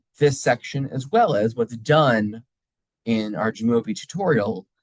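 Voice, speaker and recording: A man's lively intonation at a fairly slow pace, dry with no echo, over a quiet background. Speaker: college instructor. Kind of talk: recorded lecture. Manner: casual, conversational. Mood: encouraging, reassuring. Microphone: webcam.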